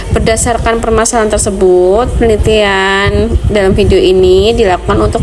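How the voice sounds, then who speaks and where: There is noticeable background noise and audible room echo as a woman talks at a moderate pace. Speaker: graduate student presenting research. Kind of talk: academic presentation. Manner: casual, chatty.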